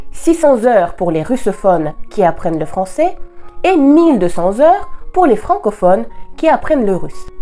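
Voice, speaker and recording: Music plays behind a woman whose fairly high voice swings very widely in pitch. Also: moderate pace. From Russia. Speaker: Russian language teacher. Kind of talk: language lesson talk to camera.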